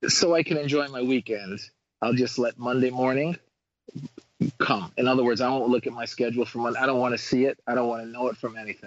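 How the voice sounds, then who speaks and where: At a very fast pace, a man talks in a medium-pitched voice with fairly even intonation. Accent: New York. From Queens, New York. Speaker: dentist. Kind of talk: casual chat.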